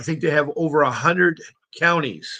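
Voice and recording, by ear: A man speaks at a moderate pace in a fairly high, fairly bright, raspy voice. His intonation stays fairly even.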